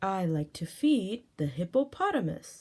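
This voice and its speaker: A female-sounding voice at a medium pitch puts on a character voice. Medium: read story.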